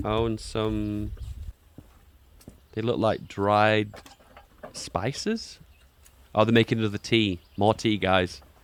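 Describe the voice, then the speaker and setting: A man with a British accent and a fairly low voice speaks at a very slow pace with long, frequent pauses. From Britain. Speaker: streamer reacting to videos. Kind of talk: reaction commentary. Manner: animated.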